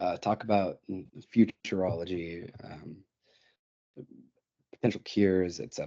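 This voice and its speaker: The man's voice has a dark, mellow tone. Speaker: undergraduate research presenter. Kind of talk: webinar presentation. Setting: online webinar. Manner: fast; halting, many fillers.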